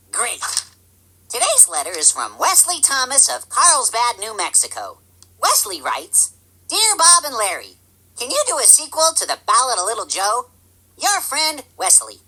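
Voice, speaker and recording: In a cartoonish character voice, a female-sounding speaker goes at a moderate pace with a high pitch. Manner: cheerful, naive.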